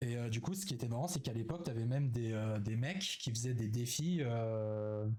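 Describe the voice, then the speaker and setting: Pitched at a medium level, a man speaks at a moderate pace with a dark, mellow tone and ordinary pitch variation. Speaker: streamer. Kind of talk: live stream reaction chat. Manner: hesitant, many fillers.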